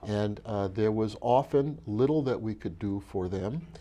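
A man with a dark, mellow tone speaks at a fairly low pitch, using ordinary pitch variation. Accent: American. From Brooklyn, New York (Bed-Stuy); New York. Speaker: physician and health foundation leader; interview guest. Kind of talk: interview. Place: hall. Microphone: lapel.

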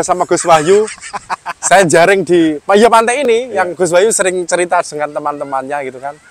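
Against noticeable background noise, a man with a high voice talks fairly quickly with ordinary pitch variation. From Dasun village, Lasem, Rembang, Central Java, Indonesia. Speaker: young historian and village official. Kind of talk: casual interview. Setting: outdoors on a boat on a river.

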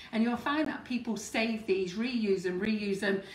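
Speaking in a British accent at a moderate pace, a woman uses a fairly high pitch, with audible room echo and light background noise. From England. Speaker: cake decorating channel host. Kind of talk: live baking demonstration. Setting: studio kitchen, live stream. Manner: chatty. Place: kitchen. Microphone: phone near.

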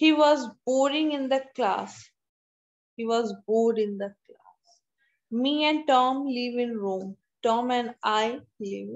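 A woman speaks in a high pitch with ordinary pitch variation. Her pace is very slow, and the background is quiet. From India. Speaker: college English teacher. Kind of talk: online lecture. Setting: video call. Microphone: video call.

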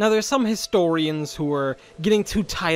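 A man talks while music plays in the background. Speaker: video essayist. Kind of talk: history video narration. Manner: sardonic, humorous.

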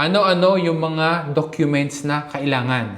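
At a very slow pace, a man speaks with a fairly high pitch. His pitch varies in an ordinary way. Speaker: vlogger. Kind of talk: tutorial.

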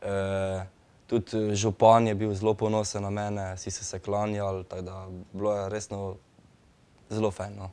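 The man's voice sits fairly low, with a dark, mellow tone. His intonation stays monotone and flat. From Slovenia. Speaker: breakdancer; guest. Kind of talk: studio interview. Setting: studio. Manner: halting. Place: studio. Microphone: lapel.

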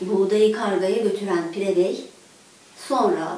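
A woman speaks at a slow pace. Strong room echo surrounds her voice.

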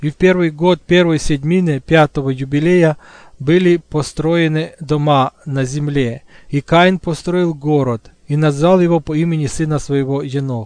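With a normal speaking voice and a dry, close sound with no echo, a man speaks at a fairly slow pace, his fairly high pitch carried by fairly even intonation. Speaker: audiobook narrator. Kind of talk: reading aloud.

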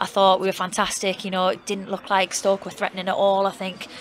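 Over noticeable background noise, a woman speaks at a very fast pace in a medium pitch. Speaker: football team manager. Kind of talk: post-match interview. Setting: outdoors at a stadium.

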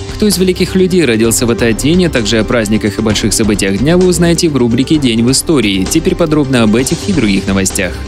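A man talks at a very fast pace with hardly any pauses, his pitch swinging very widely, while clear music plays in the background. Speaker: radio news announcer. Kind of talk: radio news reading. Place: studio. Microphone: studio mic.

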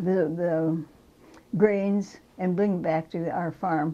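A woman with an Upper Midwest accent, her tone dark and mellow, her intonation fairly even. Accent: Upper Midwest American. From rural Minnesota. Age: old. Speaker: crop artist. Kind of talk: interview answer.

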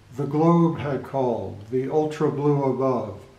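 A man's very slow speech with fairly even intonation over noticeable background noise. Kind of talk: poetry reading, reflective. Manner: measured, lyrical, slow-paced; wistful, contemplative.

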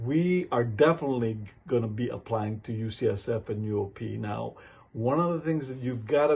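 A man speaks fairly slowly in a somewhat breathy voice with a dark, mellow tone and ordinary pitch variation. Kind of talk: advice vlog talk. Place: office. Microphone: phone near.

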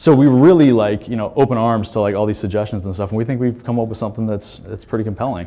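Speaking at a very fast pace with hardly any pauses, a man uses ordinary pitch variation. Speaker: pinball hardware developer presenting. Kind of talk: conference presentation. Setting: stage with audience. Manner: halting, many fillers. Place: hall.

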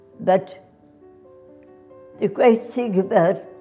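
Speaking at a very slow pace, a woman is heard with faint music in the background. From Australia. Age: 80s+. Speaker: dancer. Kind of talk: interview. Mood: warm, grateful, reflective.

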